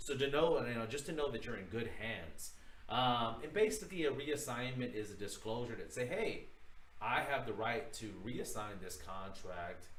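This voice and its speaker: Through noticeable background noise and audible room echo, a medium-pitched man speaks at a moderate pace with lively intonation. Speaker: real estate broker teaching a course. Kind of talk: livestream tutorial. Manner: casual, filler-heavy.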